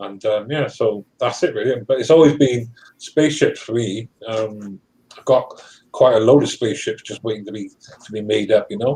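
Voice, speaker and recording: With a British accent, a man speaks in a dark, mellow tone that is somewhat breathy. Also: medium pitch for a man, ordinary pitch variation, moderate pace, big swings in loudness. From UK. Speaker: live stream participant. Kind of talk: casual chat.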